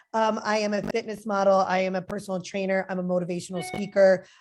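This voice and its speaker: A woman speaks with a New Jersey accent. The background is quiet. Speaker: fitness model and personal trainer. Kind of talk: interview. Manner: casual, filler-heavy.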